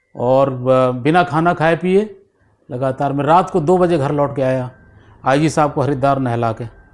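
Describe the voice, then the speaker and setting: Here a man speaks with a fairly high pitch. His pitch varies in an ordinary way. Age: 60s. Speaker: retired police officer. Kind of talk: interview. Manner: halting.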